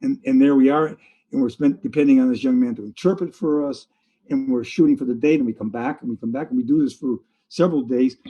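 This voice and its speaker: A man's very fast delivery, fairly high in pitch, with ordinary pitch variation and a dark, mellow tone. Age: 80s+. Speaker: fantasy artist. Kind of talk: interview answer. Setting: video call. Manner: lively.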